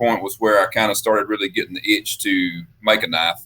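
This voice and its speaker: Fairly quick speech from a man in a Southern US accent. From US South (Mississippi, Alabama). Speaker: custom knife maker. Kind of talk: interview. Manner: casual, hesitant with fillers.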